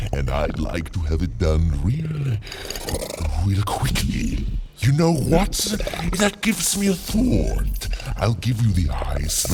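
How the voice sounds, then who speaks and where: A man's cartoonish character voice at a fairly slow pace over loud background noise. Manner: imperious, demanding.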